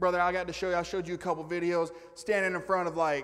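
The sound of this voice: A man speaks at a fast pace with a fairly bright tone.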